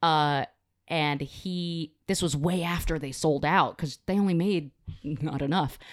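A woman with an American accent talks at a fairly slow pace in a very deep, low pitch, on a very clean recording with a silent background. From New Jersey. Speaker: podcast guest, video game fan. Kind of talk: casual chat. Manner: animated, pitch rises when excited.

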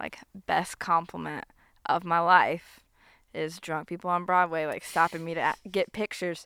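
A flat, monotone delivery with a bright, sharp tone, an American accent and a moderate pace. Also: woman, fairly low pitch for a woman, very clean recording, silent background. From US South. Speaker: podcast host. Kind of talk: casual interview. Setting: outdoors.

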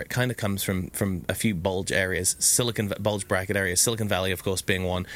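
Speaking with an English accent, a man keeps a fairly low pitch, fairly even intonation and a fairly quick pace. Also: very clean recording, silent background. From UK. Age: 30s. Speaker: entrepreneur. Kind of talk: casual chat.

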